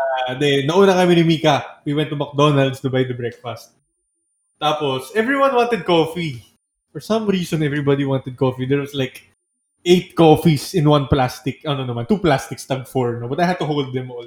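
A man's voice, somewhat breathy, moves along at a fairly quick clip. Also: fairly high pitch for a man, ordinary pitch variation. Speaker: band member, songwriter. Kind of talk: casual chat.

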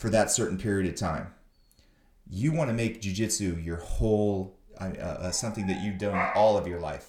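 Speaking at a moderate pace, a man with a normal speaking voice has a fairly low pitch and ordinary pitch variation. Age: 50s. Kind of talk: casual interview chat. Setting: visiting host's academy.

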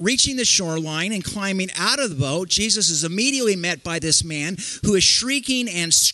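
Lively intonation in a natural reading voice

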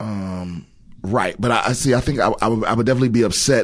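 Lively in intonation, a man with an American accent speaks at a fairly quick pace. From Maryland, Prince George's County. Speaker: stand-up comedian and Iraq War veteran. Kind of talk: casual chat.

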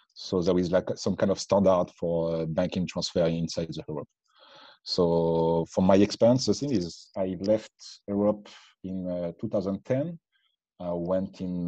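A man with a French accent, very deep, low pitch, and a dark, mellow tone, at a fairly slow pace. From France. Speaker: bitcoin meetup organizer. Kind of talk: casual interview chat. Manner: halting, searching for words.

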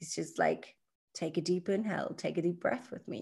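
A woman's voice with vocal fry, at a moderate pace and with ordinary pitch variation. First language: not English. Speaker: podcast co-host and Kundalini yoga practitioner. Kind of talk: casual spiritual conversation. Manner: halting, many fillers and restarts.

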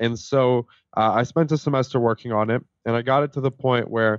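Here is a man with a plain, everyday voice and a Canadian accent. His pitch is medium, his pace moderate and his intonation fairly even. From Canada (immigrated from Israel as a young child). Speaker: tech startup founder. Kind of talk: interview.

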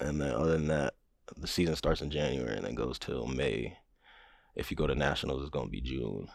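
With an American accent, a man speaks at a fairly quick pace in a very deep, low pitch with vocal fry and ordinary pitch variation. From New Mexico, raised on military bases (US, Germany). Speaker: college track athlete. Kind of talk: casual interview chat.

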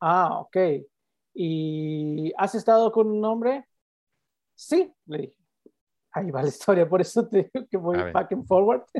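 The speaker moves at a fairly slow pace with long, frequent pauses and lively intonation. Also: man, high pitch for a man. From Yucatán, Mexico (Progreso). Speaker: podcast guest sharing life story. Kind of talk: personal testimony in interview. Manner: halting, repeats words.

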